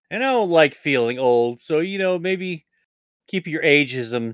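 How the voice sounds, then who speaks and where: In a dry, close recording with no echo, a man speaks at a fairly slow pace with an animated tone and lively intonation. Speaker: podcast co-host. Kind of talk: casual banter, podcast chat. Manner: crude, animated.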